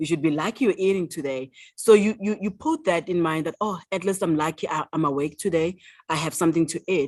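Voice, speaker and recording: A woman with a South African accent speaks at a moderate pace and a fairly low pitch, with ordinary pitch variation. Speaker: author. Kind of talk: interview answer.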